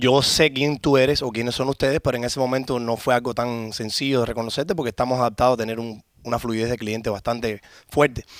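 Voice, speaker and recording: The speech races at a very fast pace in a Cuban accent. Intonation stays fairly even. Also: man, medium pitch for a man. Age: 30s. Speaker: car shop owner. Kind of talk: interview.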